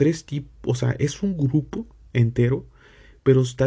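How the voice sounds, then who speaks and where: A man's dark, mellow, somewhat breathy voice at a fairly slow pace. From Mexico. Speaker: religious podcast host. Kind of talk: religious teaching. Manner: halting.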